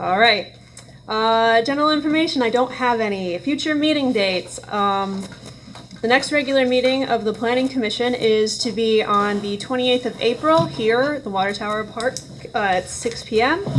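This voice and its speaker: A woman's fairly high voice at a moderate pace with ordinary pitch variation, over noticeable background noise. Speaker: planning commission chair. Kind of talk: public meeting.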